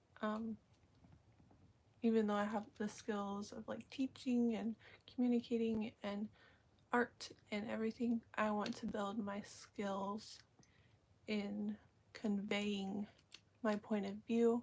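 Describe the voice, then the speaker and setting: A woman talks at a very slow pace with long, frequent pauses. She sounds somewhat breathy, and her intonation is monotone and flat. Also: fairly high pitch for a woman. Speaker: vlogger. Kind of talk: casual live stream monologue. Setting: live stream. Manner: hesitant, many fillers.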